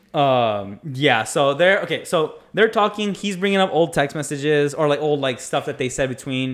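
Using a normal speaking voice, a man talks at a moderate pace with hardly any pauses, lively intonation and a fairly high pitch. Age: 20s. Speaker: podcast co-host. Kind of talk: casual chat.

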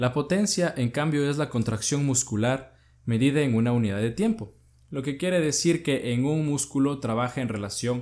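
A man speaks at a moderate pace in an ordinary speaking voice, medium in pitch with ordinary pitch variation. The recording is very clean, with a silent background. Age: 20s. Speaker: podcast host. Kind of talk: educational talk.

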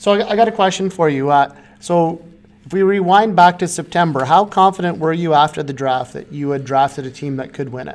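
A man's plain, everyday voice, fairly high in pitch, at a fairly quick pace with ordinary pitch variation and big swings in loudness. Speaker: fantasy hockey podcast co-host. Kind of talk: casual chat.

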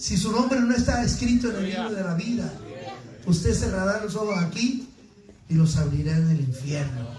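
Animated and high-pitched, a man with a Mexican accent speaks at a fairly slow pace with very wide pitch swings and long, frequent pauses, amid noticeable background noise and audible room echo. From Mexico City. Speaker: pastor. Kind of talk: sermon.

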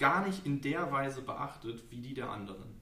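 With lively intonation, a man speaks at a very slow pace amid audible room echo. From Lower Saxony, Germany. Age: 20s. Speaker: local politics candidate and student. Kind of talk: podcast interview. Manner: hesitant, many fillers.

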